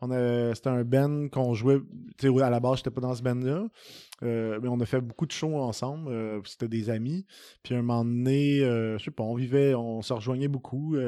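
A man talks with a Quebec accent. His intonation is fairly even. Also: medium pitch for a man, moderate pace. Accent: Québécois French. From Quebec, Saint-Hyacinthe area. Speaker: singer-songwriter. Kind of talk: interview. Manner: casual, hesitant with fillers.

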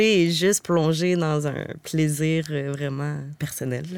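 Delivery is very slow. The intonation holds fairly even. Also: woman. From Quebec, Stoneham near Quebec City. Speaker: contemporary dancer and body percussion artist. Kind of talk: casual interview chat.

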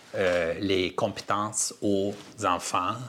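This man has a fairly low pitch. His pitch varies in an ordinary way. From Armenian family, raised in five countries incl. Uzbekistan. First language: Armenian (speaking French). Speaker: theatre director and playwright. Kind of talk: interview. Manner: halting.

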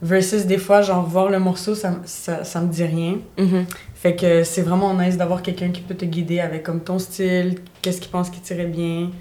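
A woman with a fairly low pitch speaks at a moderate pace in monotone, flat intonation against noticeable background noise. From Montreal, Quebec (born in Bulgaria). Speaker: dance and fitness instructor. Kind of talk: casual chat. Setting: studio.

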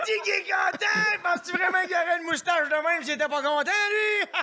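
Shouting at an extremely high pitch with hardly any pauses, a man with a Quebec accent shows ordinary pitch variation over noticeable background noise. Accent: Québécois French. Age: 20s. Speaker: stand-up comedian. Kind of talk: stand-up.

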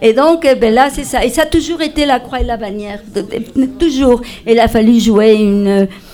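A woman speaks with a Spanish accent at a moderate pace, her high pitch showing ordinary variation. Noticeable background noise runs underneath. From Spain, Madrid. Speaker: multidisciplinary artist and storyteller. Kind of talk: casual chat. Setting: stage with audience.

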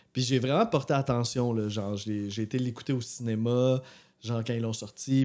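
In a very clean recording with a silent background, a man with a Quebec accent speaks at a moderate pace in a dark, mellow, medium-pitched voice, his intonation fairly even. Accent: Québécois French. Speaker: music podcast co-host. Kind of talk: casual chat.

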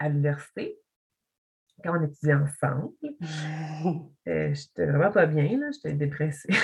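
A somewhat breathy voice at a very slow pace, with fairly even intonation. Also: woman. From Quebec, Montreal (Pointe-Claire). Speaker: visual artist. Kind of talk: casual chat. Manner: halting.

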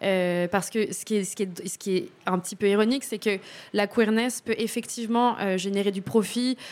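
A woman talks at a medium pitch. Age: 30s. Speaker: documentary subject, former tenant. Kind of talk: radio interview.

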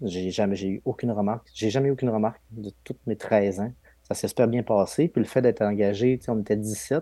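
A man speaks at a fairly quick pace with a dark, mellow tone and a fairly low pitch. The sound is dry and close with no echo. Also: fairly even intonation. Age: 30s. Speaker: police investigator. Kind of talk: interview. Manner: hesitant, many fillers and repetitions.

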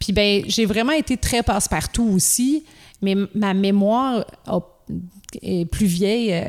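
In a Quebec accent, a woman talks at a very slow pace with a medium pitch. Her loudness stays very even, broken by long, frequent pauses. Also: ordinary pitch variation. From Quebec, Gaspésie. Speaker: children's rock musician. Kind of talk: casual interview chat.

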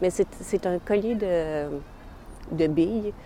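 A woman speaks at a fairly low pitch in a plain, everyday voice. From Montreal, Quebec. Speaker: interviewee sharing personal story. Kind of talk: personal testimony.

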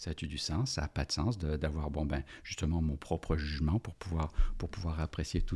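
Very deep, low male voice, somewhat breathy, at a moderate pace with ordinary pitch variation in a very clean recording with a silent background. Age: 50s. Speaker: organizational development consultant and business coach. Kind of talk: casual interview about books. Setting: podcast studio.

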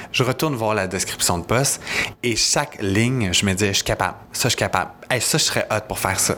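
A man with a Quebec accent at a medium pitch, ordinary pitch variation and a moderate pace, with noticeable background noise. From Quebec, Montérégie (Napierville). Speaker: community worker at an LGBT organization. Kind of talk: interview conversation.

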